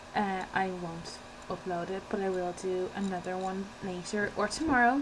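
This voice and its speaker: A woman speaks at a medium pitch. There is noticeable background noise. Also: ordinary pitch variation, moderate pace. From Ireland. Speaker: beauty vlogger. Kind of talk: casual vlog talk. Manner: soft-spoken; fidgety, hesitant with many ums.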